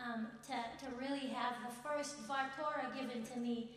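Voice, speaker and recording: In a room with audible echo and noticeable background noise, a woman speaks at a high pitch. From Israel. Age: 20s. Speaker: student speaker. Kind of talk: speech at event. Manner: halting.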